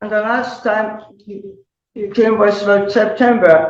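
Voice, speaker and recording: Audible room echo surrounds a woman's voice. She speaks at a fairly slow pace with fairly high pitch. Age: 80s+. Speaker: tenant defendant. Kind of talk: court testimony.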